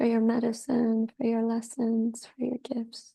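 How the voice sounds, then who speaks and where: A woman speaks fairly slowly with a dark, mellow tone. Her pitch is fairly high, and her intonation is monotone and flat. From Peruvian ancestry. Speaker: curandera, priestess and meditation guide. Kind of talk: guided meditation and ceremony opening. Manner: slow, reverent, prayerful.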